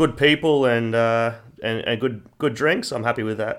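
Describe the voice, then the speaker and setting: A man with a Queensland accent, medium pitch, fairly even intonation and a moderate pace, on a very clean recording with a silent background. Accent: Queensland Australian. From Queensland, Australia. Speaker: sports performance professional. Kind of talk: casual chat.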